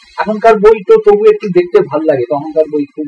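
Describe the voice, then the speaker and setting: A man's voice with very wide pitch swings, dry and close with no echo, music in the background. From West Bengal, India. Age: 70s. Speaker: naturalist. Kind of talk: interview answer.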